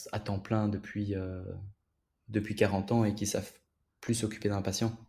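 A man's somewhat breathy voice has a dark, mellow tone and monotone, flat intonation. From Belgium. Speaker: physiotherapist. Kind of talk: casual interview.

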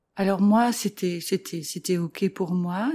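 In a very clean recording with a silent background, a woman speaks fairly slowly at a fairly low pitch, somewhat breathy, with a dark, mellow tone and ordinary pitch variation. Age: 40s. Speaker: separated mother. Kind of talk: personal testimony interview. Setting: at home. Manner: hesitant, many fillers.

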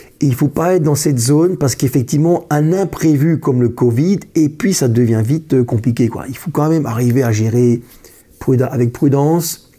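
Somewhat breathy and dark, mellow in tone, a man's fairly high voice moves at a moderate pace with ordinary pitch variation. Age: 50s. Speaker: accountant. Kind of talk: interview. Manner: halting, many repetitions.

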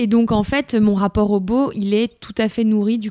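A dark, mellow tone moves at a fairly slow pace in a very clean recording with a silent background. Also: woman. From France, Lyon area. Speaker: author-illustrator. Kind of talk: casual chat.

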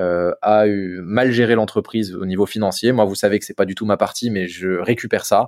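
A man's medium-pitched voice, a plain, everyday voice, at a moderate pace with ordinary pitch variation, in a very clean recording with a silent background. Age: 30s. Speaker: business owner. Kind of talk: interview.

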